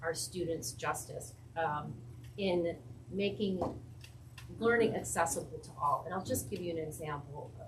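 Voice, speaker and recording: A woman speaks in a fairly low voice with lively intonation. Audible room echo surrounds her. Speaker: school administrator presenting to school board. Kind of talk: presentation at public board meeting. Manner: animated.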